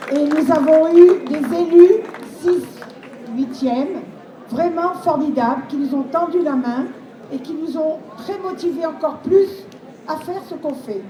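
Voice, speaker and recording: A woman with a high pitch and ordinary pitch variation speaks at a fairly slow pace. Noticeable background noise and audible room echo fill the recording. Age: 70s. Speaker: charity volunteer. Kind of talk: testimony.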